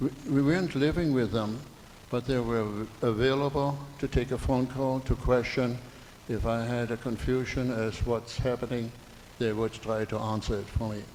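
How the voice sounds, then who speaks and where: The speaker has a German accent and talks at a moderate pace. The intonation stays fairly even. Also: man, medium pitch for a man. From Germany. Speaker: audience member. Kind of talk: public comment at community meeting.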